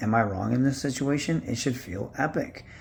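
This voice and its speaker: Male speech, somewhat breathy, with typical rise and fall in pitch. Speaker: online commentator. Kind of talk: casual rant. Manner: sounds weird from tooth pull.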